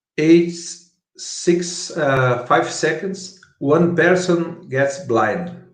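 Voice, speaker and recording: A high-pitched man in a Brazilian Portuguese accent, very slow pace, ordinary pitch variation and audible room echo. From Brazil, Curitiba. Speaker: startup founder. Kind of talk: conference talk. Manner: halting.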